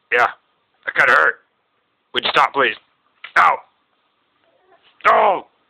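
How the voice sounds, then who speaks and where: Someone in a put-on character voice talks at a moderate pace with a raspy sound and long, frequent pauses. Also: man, medium pitch for a man. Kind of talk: comedy puppet bit to camera. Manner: exaggerated, comic, whiny.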